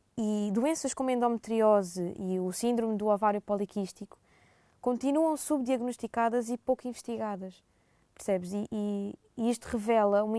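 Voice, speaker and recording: In a European Portuguese accent, a woman speaks at a fairly high pitch with a dark, mellow tone and a dry, close sound with no echo. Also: ordinary pitch variation, moderate pace. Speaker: student. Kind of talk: podcast interview.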